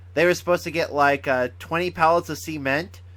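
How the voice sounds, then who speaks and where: A man's fairly high voice at a fairly quick pace, on a very clean recording with a silent background. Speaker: gaming video creator. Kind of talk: casual monologue. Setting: sitting on a couch. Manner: halting, stumbling speech.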